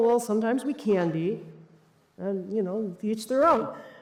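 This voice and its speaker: There is audible room echo as a woman talks with an American accent. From United States. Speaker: cybersecurity executive and conference speaker. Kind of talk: conference talk. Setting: stage with audience. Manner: animated.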